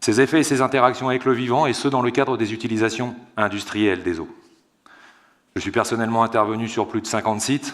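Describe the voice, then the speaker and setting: Using a normal speaking voice, a man speaks at a fairly quick pace with medium pitch and fairly even intonation. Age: 30s. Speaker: water treatment engineer. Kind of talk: conference talk. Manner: formal.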